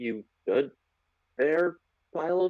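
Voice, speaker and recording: Here a man puts on a character voice, pitched fairly high, with ordinary pitch variation. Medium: actual play.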